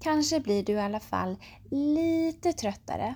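A woman speaks with a dark, mellow tone that is also calm and warm, her intonation lively. The recording is very clean, with a silent background. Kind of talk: guided meditation (yoga nidra) for children at bedtime. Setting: bedtime audio. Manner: slow, soothing and gentle, with long pauses between body parts; calm, warm and reassuring, speaking directly to the child.

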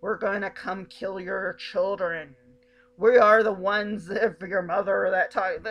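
A woman puts on a raspy character voice, delivering her lines in a monotone with flat intonation. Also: medium pitch for a woman, fairly slow pace. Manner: menacing, garbled announcer tone.

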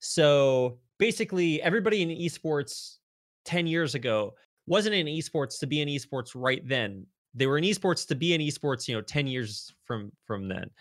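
Over a very clean recording with a silent background, a man in an ordinary speaking voice talks at a moderate pace and a fairly high pitch, with lively intonation. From US South, rural North Texas. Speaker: esports broadcaster. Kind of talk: casual interview.

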